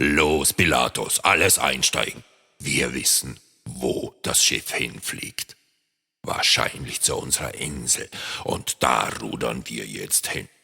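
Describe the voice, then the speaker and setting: A man's put-on character voice, very deep and low in pitch, at a fairly slow pace. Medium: read story. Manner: blustering, commanding.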